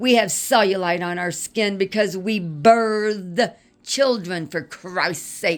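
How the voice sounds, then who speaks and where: A woman talks very slowly at a medium pitch, with ordinary pitch variation. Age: 50s. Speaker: vlogger. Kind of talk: personal video monologue. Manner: animated.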